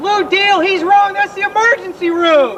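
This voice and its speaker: Over clear background noise, a man does a put-on character voice at an extremely high pitch and a moderate pace. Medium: comedy sketch.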